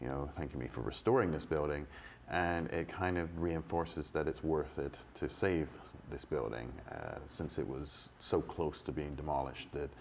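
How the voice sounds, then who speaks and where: A man talks at a moderate pace with ordinary pitch variation. His very deep, low voice has vocal fry. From England. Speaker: building restorer. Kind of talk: live Q&A interview. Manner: halting, many restarts.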